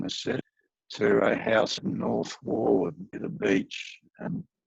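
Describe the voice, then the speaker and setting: A man with an Australian accent speaks at a very slow pace. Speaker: aviation historian. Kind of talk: history presentation. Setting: video call.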